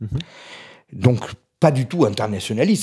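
Against a quiet background, a man speaks at a medium pitch in a dark, mellow tone. He sounds somewhat breathy, and his pitch swings very widely. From Corsica. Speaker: essayist; interview guest. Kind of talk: interview. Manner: fast; energetic. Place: home room. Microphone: handheld.

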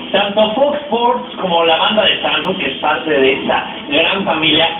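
A man's voice swings very widely in pitch over noticeable background noise and audible room echo. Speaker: TV show host. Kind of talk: TV interview host. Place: studio.

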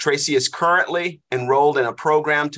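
A man talks in an unremarkable speaking voice. His pace is moderate and the background is quiet. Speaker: class host, leads prayer. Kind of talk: prayer and introduction. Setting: online class, video call.

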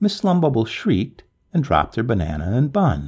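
Quiet surroundings behind an unforced reading voice

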